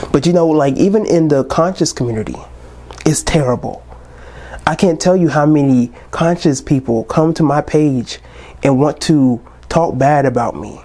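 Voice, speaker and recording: Long, frequent pauses over noticeable background noise. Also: man, fairly high pitch for a man, ordinary pitch variation, moderate pace. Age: 20s. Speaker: podcast host. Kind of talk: casual monologue. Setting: recorded on New Year's Eve.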